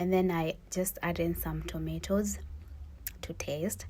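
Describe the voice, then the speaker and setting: A woman with a Kenyan accent speaks at a fairly slow pace. Her voice is fairly low and somewhat breathy. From Kenya, Kikuyu region. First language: Kikuyu or Swahili. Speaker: student vlogger. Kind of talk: cooking vlog narration. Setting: village in Kenya. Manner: casual, conversational.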